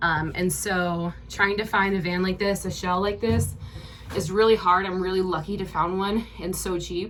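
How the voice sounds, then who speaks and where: There is audible room echo around a woman's voice. She speaks at a medium pitch with fairly even intonation. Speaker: vlogger. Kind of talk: casual vlog tour. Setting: inside a van. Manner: fast.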